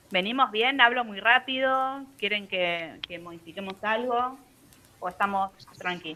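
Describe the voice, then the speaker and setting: A woman's normal speaking voice, fairly high and fairly slow, with ordinary pitch variation. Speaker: university law lecturer. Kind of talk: lecture.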